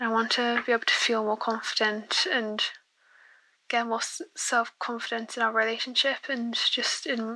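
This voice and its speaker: A woman with a British accent talks at a moderate pace in a bright, sharp tone, her fairly high pitch held in a monotone, flat intonation. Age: 20s. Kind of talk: recorded voicemail question.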